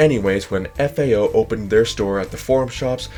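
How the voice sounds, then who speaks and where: Music plays in the background as a man with an American accent talks at a moderate pace. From Nevada, Las Vegas. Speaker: history video creator. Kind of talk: scripted narration.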